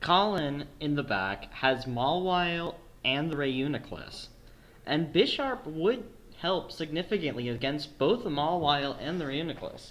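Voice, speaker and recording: A plain, everyday voice, a man's, fairly high in pitch with lively intonation. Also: fairly slow pace. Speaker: esports commentator auditioning. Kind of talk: live match commentary.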